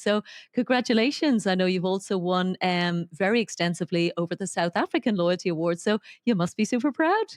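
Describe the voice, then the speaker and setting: A woman with an Irish accent speaks fairly quickly at medium pitch, with ordinary pitch variation. The sound is dry and close with no echo, and the background is quiet. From Ireland. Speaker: podcast host. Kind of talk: interview.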